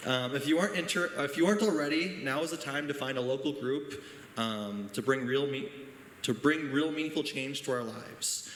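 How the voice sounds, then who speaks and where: In an American accent, a man talks at a moderate pace and a fairly high pitch with ordinary pitch variation, and audible room echo surrounds him. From Janesville, Wisconsin, US Midwest. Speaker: teacher speaking at town hall. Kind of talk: public comment speech. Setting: town hall meeting, high school. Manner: hesitant, many fillers.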